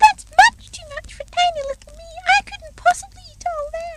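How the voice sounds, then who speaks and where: A woman puts on a squeaky character voice at an extremely high pitch, with very wide pitch swings. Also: moderate pace. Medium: read story. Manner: timid, nervous.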